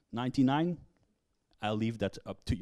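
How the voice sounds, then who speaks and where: Ordinary pitch variation in a man's voice, a quiet background behind it. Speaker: conference speaker. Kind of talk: lecture. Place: hall.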